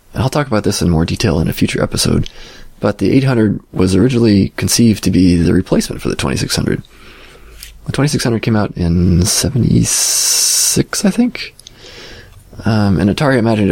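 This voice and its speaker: Noticeable background noise runs under a man talking very fast. His voice is fairly low, with lively intonation and very even loudness. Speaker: podcast host. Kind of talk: solo podcast monologue.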